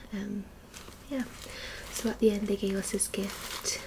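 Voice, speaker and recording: A soft-spoken woman with fairly high pitch, fairly slow pace and monotone, flat intonation, amid noticeable background noise. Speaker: ASMR creator. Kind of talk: ASMR what's-in-my-bag talk to camera.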